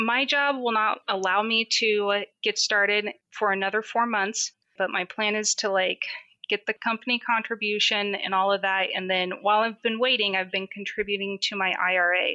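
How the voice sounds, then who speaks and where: A woman speaks with a bright, sharp tone and very even loudness. The sound is dry and close, with no echo. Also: medium pitch for a woman, moderate pace. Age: 30s. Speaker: caller. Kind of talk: call-in conversation.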